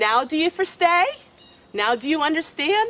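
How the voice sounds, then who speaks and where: A Pennsylvania Dutch accent with very wide pitch swings, at a fairly slow pace, over noticeable background noise. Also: woman. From Lancaster County, Pennsylvania. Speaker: homesteading vlogger. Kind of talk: casual talk to camera.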